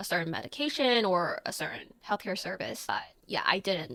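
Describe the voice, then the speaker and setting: A woman at medium pitch with a Chinese accent. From Taiwan. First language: Mandarin Chinese. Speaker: content creator. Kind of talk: casual Q&A vlog. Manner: slow.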